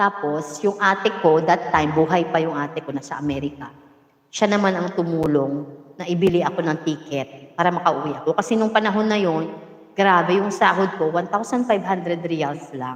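A woman's fairly low voice at a moderate pace, with ordinary pitch variation. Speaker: vlogger telling life story. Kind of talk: casual storytelling livestream. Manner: energetic, laughing often.

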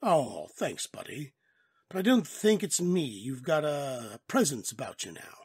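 A raspy, put-on character voice at a middle pitch and a fairly slow pace. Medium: read story. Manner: casual, jovial.

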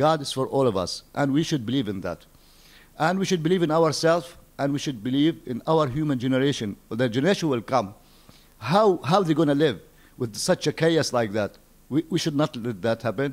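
A man with an Arabic accent speaks in a fairly high pitch with lively intonation. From Palestine. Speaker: poet and novelist; poet. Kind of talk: interview. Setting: embassy. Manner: halting. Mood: earnest, idealistic. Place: home room. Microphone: handheld.

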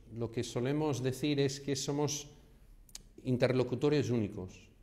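Speaking with an American accent, a man has a dark, mellow tone, a medium pitch and fairly even intonation. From Houston, Texas. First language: English (speaking Spanish). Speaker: real estate agent. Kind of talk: vlog monologue. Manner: hesitant, many fillers.

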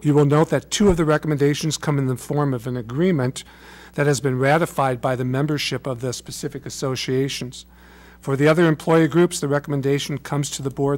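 Delivered at a fairly quick pace, the speech keeps a fairly even intonation. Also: man. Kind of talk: formal meeting report. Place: meeting room. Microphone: podium.

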